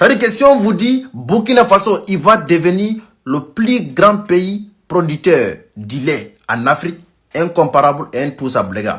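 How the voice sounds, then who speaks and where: Using very wide pitch swings, a man talks at a high pitch. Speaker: news commentary vlogger. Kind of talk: casual news commentary. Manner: halting, self-correcting.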